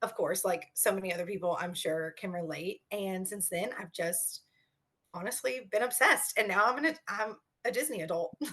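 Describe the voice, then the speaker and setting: Bright and sharp in tone, the speaker has a slight Kentucky accent and lively intonation. The pace is moderate. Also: woman, medium pitch for a woman. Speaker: teacher, podcast guest. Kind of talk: casual interview. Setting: video call.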